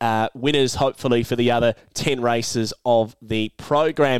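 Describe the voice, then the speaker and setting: In an Australian accent, a man at a medium pitch speaks at a moderate pace, the sound dry and close with no echo. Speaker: podcast host. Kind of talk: podcast discussion and race preview. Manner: animated, enthusiastic.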